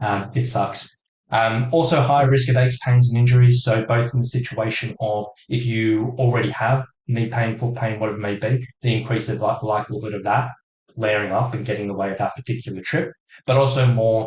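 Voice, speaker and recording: A man speaks at a medium pitch and a fairly quick pace, his intonation fairly even and his voice somewhat breathy. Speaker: hiking fitness coach. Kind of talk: webinar presentation. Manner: fast.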